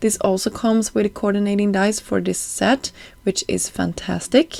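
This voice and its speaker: A woman with a Swedish accent at a moderate pace. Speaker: card-making crafter, YouTuber. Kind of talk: craft tutorial voiceover. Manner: casual, with frequent fillers.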